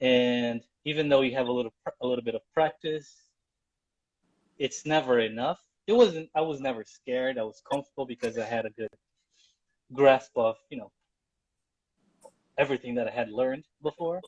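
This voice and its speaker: At a fairly quick pace broken by long, frequent pauses, a man talks with ordinary pitch variation. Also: medium pitch for a man, dry, close sound with no echo. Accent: Portuguese. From Brazil. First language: Portuguese. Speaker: journalist. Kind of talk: live interview.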